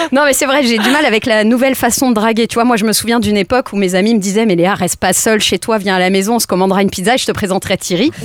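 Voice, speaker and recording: Over noticeable background noise, a woman with a fairly high pitch talks at a very fast pace with hardly any pauses. Her loudness stays very even, and her pitch varies in an ordinary way. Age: 40s. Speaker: comedian. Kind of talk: stand-up. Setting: studio. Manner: casual.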